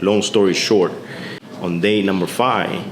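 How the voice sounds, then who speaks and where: The background noise is noticeable. A man talks with fairly even intonation. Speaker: motorcycle vlogger. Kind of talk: casual talk to camera.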